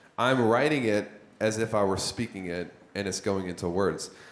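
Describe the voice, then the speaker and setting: Speech at a moderate pace with ordinary pitch variation and audible room echo. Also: man. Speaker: business coach teaching copywriting. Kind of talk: workshop lecture. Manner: halting, self-described stuttering.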